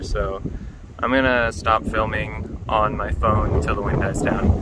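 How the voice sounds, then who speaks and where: A man's voice with a dry sound, no echo, and loud background noise. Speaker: fishing vlogger. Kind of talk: casual vlog chat. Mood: amused, laughing. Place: waterside. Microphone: phone near.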